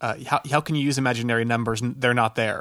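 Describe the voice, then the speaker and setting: Heard on a very clean recording with a silent background, a man has an unremarkable speaking voice with medium pitch and fairly even intonation. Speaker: podcast co-host. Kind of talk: casual conversation.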